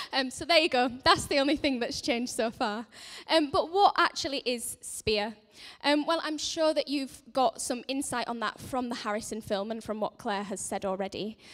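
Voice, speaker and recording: At a moderate pace, a woman speaks with lively intonation and a high pitch. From northern England, Leeds. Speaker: charity centre manager. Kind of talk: church announcement talk. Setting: church service. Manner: hesitant with many fillers.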